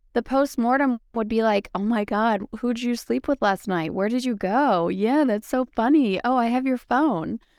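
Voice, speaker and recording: With an American accent and a plain, everyday voice, a woman of fairly high pitch speaks at a moderate pace with ordinary pitch variation and very even loudness, on a very clean recording with a silent background and a dry, close sound with no echo. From Wisconsin, US Midwest. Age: 40s. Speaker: podcast guest in recovery, mother. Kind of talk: casual interview, personal testimony.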